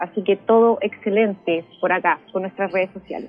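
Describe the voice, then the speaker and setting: A woman talks with ordinary pitch variation while music plays in the background. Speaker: parish communicator and journalist. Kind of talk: radio interview.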